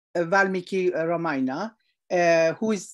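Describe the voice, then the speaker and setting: Over a quiet background, a woman speaks at a fairly slow pace with ordinary pitch variation. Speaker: devotee asking questions. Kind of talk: question in online religious class. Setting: video call. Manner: halting. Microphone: video call.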